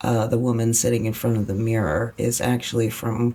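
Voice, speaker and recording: The tone is relaxed, with music in the background. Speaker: author. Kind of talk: casual narrated flip-through ramble. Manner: relaxed, rambling.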